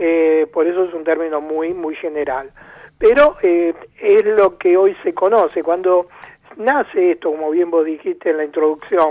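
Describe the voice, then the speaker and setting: With ordinary pitch variation, a man talks at a high pitch and a fairly slow pace. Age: 70s. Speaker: ufology researcher and author. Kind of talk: radio interview.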